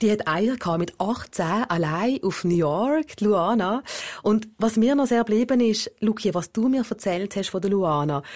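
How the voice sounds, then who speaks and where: In a plain, everyday voice, a woman speaks at a fairly slow pace and fairly high pitch, with lively intonation and very even loudness, on a very clean recording with a silent background. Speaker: podcast host. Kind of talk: documentary narration.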